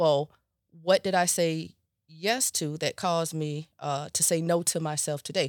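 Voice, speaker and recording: Very clean recording, silent background: a woman with an unremarkable speaking voice talks at a fairly low pitch and fairly slow pace, with fairly even intonation and a dry, close sound with no echo. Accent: American. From Florida, Riviera Beach. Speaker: mental health professional and coach. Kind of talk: casual interview.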